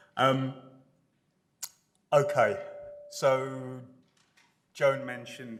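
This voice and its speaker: A man is speaking. Audible room echo is present. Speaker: architecture professor. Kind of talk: lecture. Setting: lecture hall with audience. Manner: loud.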